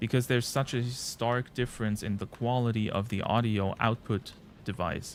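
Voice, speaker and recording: In a German accent, a man talks at a moderate pace and a medium pitch with fairly even intonation. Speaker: gaming streamer. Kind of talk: live stream chat. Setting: live stream. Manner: halting.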